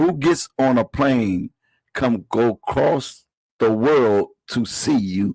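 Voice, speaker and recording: Speaking at a very slow pace with very even loudness, a man keeps a medium pitch, the sound dry and close with no echo. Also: ordinary pitch variation. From rural US South, moved to Washington DC at 13. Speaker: comedian. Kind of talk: casual chat. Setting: live podcast. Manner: animated.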